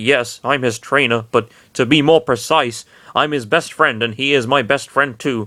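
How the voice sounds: Heard here is a natural reading voice with ordinary pitch variation.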